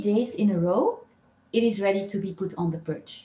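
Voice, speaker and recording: Ordinary pitch variation in a woman's fairly slow speech. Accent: non-native. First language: not English. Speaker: owl keeper vlogger. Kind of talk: live stream chat. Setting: live stream. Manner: hesitant, many fillers.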